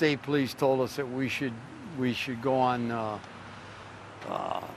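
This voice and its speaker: A man talks at a fairly slow pace in a medium pitch with monotone, flat intonation. The room echo is audible, and there is noticeable background noise. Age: 70s. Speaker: father of missing man. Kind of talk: interview.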